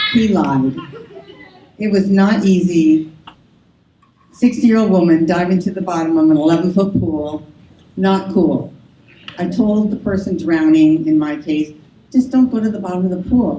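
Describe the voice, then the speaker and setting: Amid noticeable background noise, a woman at medium pitch speaks at a moderate pace with ordinary pitch variation and long, frequent pauses. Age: 60s. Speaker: swim coach. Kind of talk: awards speech. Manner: casual, humorous.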